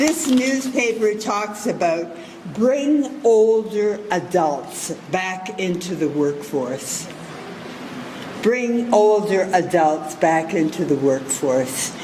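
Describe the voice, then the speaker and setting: The pace here is very slow. Noticeable background noise runs underneath. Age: 80s+. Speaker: keynote speaker. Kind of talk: graduation keynote speech. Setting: graduation ceremony with audience.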